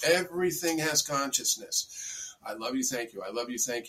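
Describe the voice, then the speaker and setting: Here a man with an American accent has an unremarkable speaking voice, fairly high in pitch. He talks at a moderate pace with lively intonation. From US Northeast (Bedford, New York). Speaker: spiritual teacher. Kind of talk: interview.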